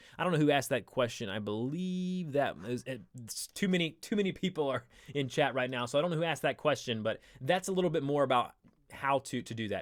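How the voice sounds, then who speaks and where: A man with a Southern US accent speaks at a fairly quick pace with a fairly high pitch and lively intonation. The recording is very clean with a silent background. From US South. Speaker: live stream host. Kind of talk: tutorial. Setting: live stream. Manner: casual, filler-heavy.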